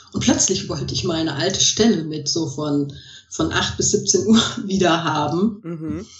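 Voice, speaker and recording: Over noticeable background noise and audible room echo, a woman speaks fairly slowly at a fairly low pitch. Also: ordinary pitch variation. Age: 50s. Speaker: coach and therapist. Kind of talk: interview.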